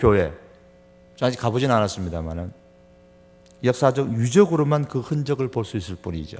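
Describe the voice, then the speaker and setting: Very wide pitch swings in a man's medium-pitched speech. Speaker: pastor. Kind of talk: sermon. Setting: church, Friday prayer service.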